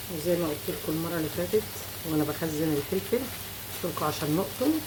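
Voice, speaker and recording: Amid audible room echo and noticeable background noise, a woman talks fairly quickly. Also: fairly low pitch for a woman, ordinary pitch variation. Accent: Egyptian. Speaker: cooking channel host. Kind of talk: cooking tutorial. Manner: casual.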